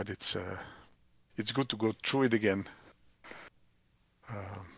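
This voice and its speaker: A man with a non-native accent, fairly low pitch, fairly even intonation and a fairly slow pace, in a very clean recording with a silent background. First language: not English. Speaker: software developer and business owner. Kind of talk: casual chat. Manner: halting.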